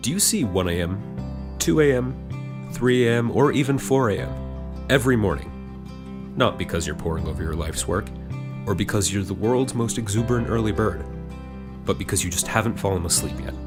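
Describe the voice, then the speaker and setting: A man speaks at a moderate pace in a very deep, low voice, with music in the background. His pitch swings very widely. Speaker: voice actor. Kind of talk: TV commercial read.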